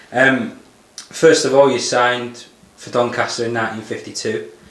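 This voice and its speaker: The man's delivery is monotone and flat and fairly quick, with noticeable noise in the background. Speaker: club staff interviewer. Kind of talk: interview questions.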